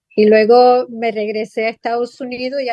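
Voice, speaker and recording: This is a woman speaking in a fairly high pitch. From Chicago, US, and Puerto Rico from age nine. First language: English (speaking Spanish). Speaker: psychotherapist. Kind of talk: interview. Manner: halting, many fillers.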